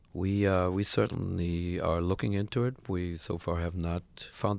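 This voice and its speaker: The recording is very clean, with a silent background. A man with a German accent speaks in a very deep, low pitch with ordinary pitch variation. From Germany. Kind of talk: interview. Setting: studio.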